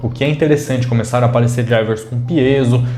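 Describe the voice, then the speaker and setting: A man talks at a medium pitch, with audible room echo around him. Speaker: tech reviewer. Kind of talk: product review. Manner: casual.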